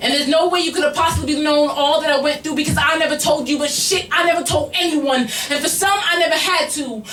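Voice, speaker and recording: A woman with a high pitch amid noticeable background noise. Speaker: slam poet. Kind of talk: spoken word poetry performance. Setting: live bar venue with audience.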